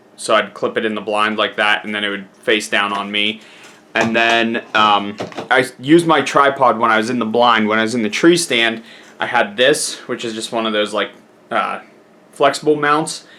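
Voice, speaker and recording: A man speaks at a medium pitch and a moderate pace. His pitch variation is ordinary, and noticeable background noise is audible. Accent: American. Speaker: hunting vlogger. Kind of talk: casual vlog talk to camera. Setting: in a truck.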